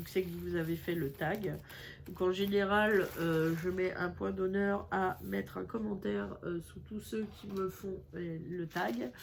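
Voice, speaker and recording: A woman talks at a very slow pace, her pitch medium. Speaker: craft YouTuber. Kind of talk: casual crafting vlog. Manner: hesitant, many fillers.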